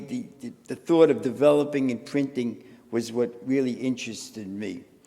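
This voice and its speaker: A man's fairly high voice at a moderate pace, lively intonation and a slight New York accent. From New York City (Bronx). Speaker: photographer. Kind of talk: panel conversation. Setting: museum event with live audience.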